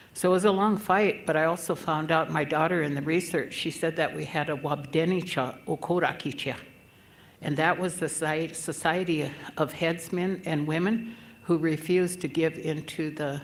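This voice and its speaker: A woman with a very deep, low pitch speaks at a moderate pace with fairly even intonation, in a room with audible echo. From Yankton, South Dakota (Dakota reservation). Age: 70s. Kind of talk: conference speech.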